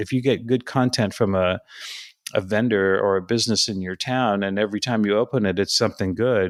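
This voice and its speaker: In a plain, everyday voice, a man speaks at a fairly quick pace with a fairly low pitch and fairly even intonation, on a very clean recording with a silent background. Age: 60s. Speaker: content writer, former journalist. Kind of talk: interview.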